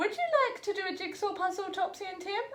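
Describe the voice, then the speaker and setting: A woman's put-on character voice, squeaky and extremely high, very fast and monotone, with clear background noise. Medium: read story. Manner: gentle, encouraging.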